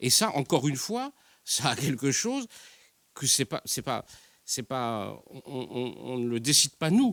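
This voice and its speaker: A man talks with lively intonation in a bright, sharp tone, edged with vocal fry. The sound is dry and close, with no echo. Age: 60s. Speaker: newspaper journalist and columnist. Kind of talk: panel debate. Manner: halting, many hesitations.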